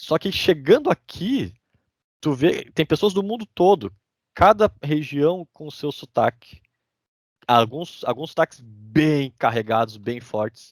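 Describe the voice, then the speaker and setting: On a very clean, dry and close recording with a silent background and no echo, a man talks very slowly at a fairly high pitch, his voice swinging very widely in pitch. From Brazil, interior of Rio Grande do Sul. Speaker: immigrant sharing his story. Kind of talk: casual podcast interview.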